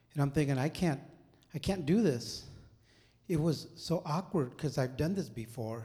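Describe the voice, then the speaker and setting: Somewhat breathy and dark, mellow in tone, a man speaks at a moderate pace with lively intonation. He leaves long, frequent pauses on a very clean recording with a silent background. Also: fairly high pitch for a man. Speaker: church singer giving testimony. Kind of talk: testimony. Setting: church.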